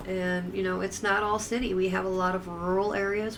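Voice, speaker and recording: A woman with an American accent speaks at a moderate pace and medium pitch, her intonation monotone and flat. An audible room echo surrounds her voice. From upstate New York. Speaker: streamer. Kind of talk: casual live-stream chat. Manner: hesitant, repetitive.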